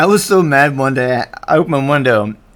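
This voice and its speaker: A man speaks at a medium pitch with an American accent. His intonation is lively. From Florida, US South. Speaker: artist live-streamer. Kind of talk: casual live-stream chat while drawing. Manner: fast; rambling with fillers.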